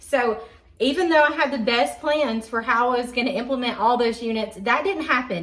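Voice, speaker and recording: Over noticeable background noise and audible room echo, a woman with a Southern accent speaks in a high pitch. Her tone is animated, her intonation lively, her pace fairly quick. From Georgia, US South. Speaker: homeschooling parent and YouTuber. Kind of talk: casual vlog talk to camera.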